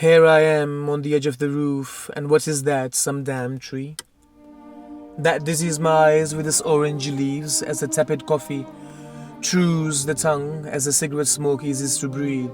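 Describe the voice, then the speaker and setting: A man's fairly high voice at a moderate pace, monotone and flat, with music in the background. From Pakistan. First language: Urdu. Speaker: poet. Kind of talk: poetry reading.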